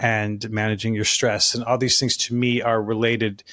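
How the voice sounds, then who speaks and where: In a very clean recording with a silent background, a man with an American accent talks fairly quickly at a medium pitch in a flat monotone. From Alaska and Colorado. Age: 60s. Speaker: fitness business consultant and author. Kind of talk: podcast interview.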